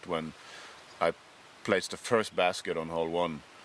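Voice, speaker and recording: Over noticeable background noise, a man with a Norwegian accent speaks at a moderate pace. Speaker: podcast host. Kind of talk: casual chat.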